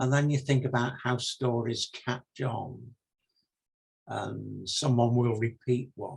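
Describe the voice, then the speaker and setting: A man with an English accent speaks at medium pitch with vocal fry. His pace is fairly slow. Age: 70s. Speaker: retired minister and novelist. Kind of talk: interview.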